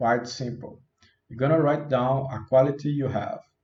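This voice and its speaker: A man with a non-native accent speaks at a moderate pace in a fairly high pitch. His voice is somewhat breathy. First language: not English. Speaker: self-help youtuber. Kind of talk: self-help talk. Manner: casual.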